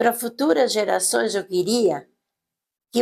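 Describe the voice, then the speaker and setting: Lively intonation carries a woman's fairly high-pitched voice. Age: 80s+. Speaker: local resident, homemaker. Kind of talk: oral history interview.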